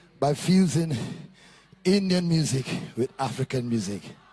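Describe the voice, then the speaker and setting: A man with a fairly high pitch speaks at a fairly slow pace amid noticeable background noise. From Trinidad and Tobago. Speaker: soca singer. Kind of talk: stage banter. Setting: stage with audience. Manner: energetic.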